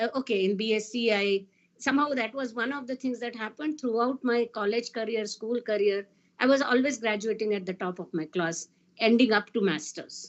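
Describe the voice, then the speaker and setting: Here a woman speaks with a Marathi Indian accent. Her pace is fairly quick, with ordinary pitch variation. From India, Maharashtra. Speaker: physicist. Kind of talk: panel talk.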